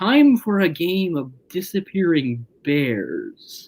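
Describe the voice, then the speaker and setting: In a put-on character voice, the speaker talks at a very slow pace and a middle pitch. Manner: weird, sinister, oddly delivered.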